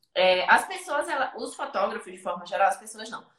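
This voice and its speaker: A woman's raised, projected voice with a bright, sharp tone, lively intonation and a moderate pace. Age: 20s. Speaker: photographer and photography teacher. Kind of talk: interview on live stream.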